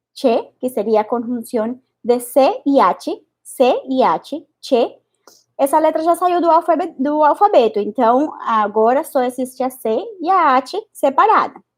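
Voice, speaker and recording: A woman's high-pitched voice with a Spanish accent, fairly slow, with very wide swings in pitch. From Spanish-speaking country. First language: Spanish (speaking Portuguese). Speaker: Spanish teacher and researcher. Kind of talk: online lesson. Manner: halting.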